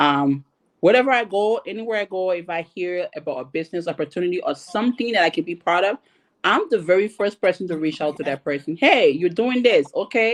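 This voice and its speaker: An ordinary speaking voice from a woman, at medium pitch, moves at a fairly quick pace with lively intonation. The background is quiet. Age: 30s. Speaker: panelist. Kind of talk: panel discussion.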